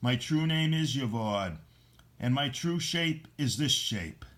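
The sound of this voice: In a put-on character voice, a man speaks fairly slowly at a fairly high pitch, sounding husky and hissing.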